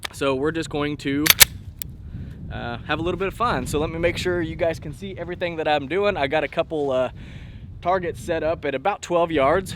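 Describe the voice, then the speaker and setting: A man talks at a fairly quick pace, his fairly high voice showing ordinary pitch variation. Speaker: gun channel host. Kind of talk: casual vlog commentary at the range. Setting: outdoor shooting range. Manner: soft-spoken.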